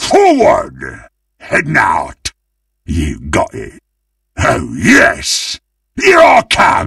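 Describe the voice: A man's put-on character voice, low in pitch with a fairly bright tone, vocal fry and a slightly husky edge, very wide pitch swings, a very slow pace and long, frequent pauses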